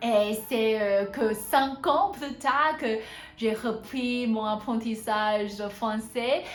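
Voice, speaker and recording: Speaking very slowly, a woman uses a fairly high pitch and fairly even intonation. Background noise is noticeable and room echo can be heard. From Taiwan. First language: Hakka, then Mandarin. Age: 20s. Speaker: polyglot language learning vlogger. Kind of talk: casual vlog monologue in several languages. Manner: halting with many fillers in French.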